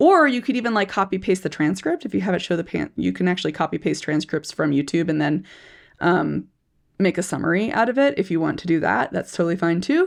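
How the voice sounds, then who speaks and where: A woman with an American accent speaks at a fairly low pitch with vocal fry against a quiet background. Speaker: speech-language pathologist and video educator. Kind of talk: educational video monologue. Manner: fast; casual, halting with repetitions.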